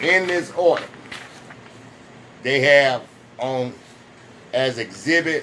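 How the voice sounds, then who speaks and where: A man with a fairly high pitch talks at a very slow pace, leaving long, frequent pauses. His pitch varies in an ordinary way, and there is noticeable background noise. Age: 60s. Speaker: vlogger sharing personal experience. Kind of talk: personal testimony vlog. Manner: halting, with restarts.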